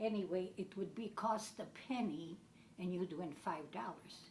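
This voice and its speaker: Very slow speech from a woman at medium pitch, with ordinary pitch variation and audible room echo. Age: 70s. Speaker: elderly woman telling her life story. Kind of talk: personal reminiscence.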